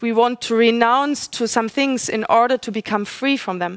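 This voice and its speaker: Recorded with dry, close sound and no echo, a woman in a high pitch speaks with a non-native accent and lively intonation. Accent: non-native English speaker, audible. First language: German. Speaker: speaker at a religious forum. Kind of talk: religious talk. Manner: halting, with fillers and self-corrections.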